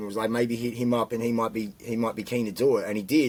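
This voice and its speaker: A man with an Australian accent speaks at medium pitch. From Australia, Canberra. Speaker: rapper and producer. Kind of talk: casual chat.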